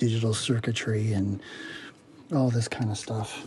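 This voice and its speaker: A man's voice against noticeable background noise. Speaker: product reviewer. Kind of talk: casual unboxing review. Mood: dismissive, unimpressed. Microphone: phone near.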